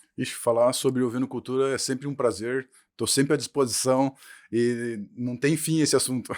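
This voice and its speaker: On a very clean recording with a silent background, a man with a southern Brazilian accent speaks at a moderate pace, with medium pitch and fairly even intonation. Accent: gaúcho. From Brazil, Rio Grande do Sul (western border). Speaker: professor. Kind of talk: podcast interview.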